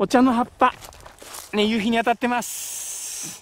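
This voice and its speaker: A man with an extremely high pitch is heard in a dry recording with no echo and light background noise. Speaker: travel vlogger. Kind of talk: travel vlog narration. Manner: enthusiastic. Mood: cheerful, relaxed. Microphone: phone near.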